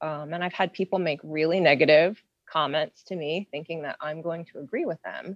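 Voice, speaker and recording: A woman with an American accent has a plain, everyday voice, fairly low in pitch, with fairly even intonation at a fairly quick pace. The sound is dry and close with no echo, over a quiet background. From western Pennsylvania (Beaver County, near Pittsburgh). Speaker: diversity trainer. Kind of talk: casual discussion.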